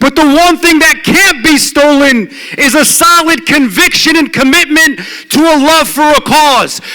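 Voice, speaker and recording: An animated, raised and projected voice at very even loudness, over noticeable background noise. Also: man, extremely high pitch for a man, fairly slow pace. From Detroit, US Midwest. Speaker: law professor. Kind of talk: speech. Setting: stage with audience.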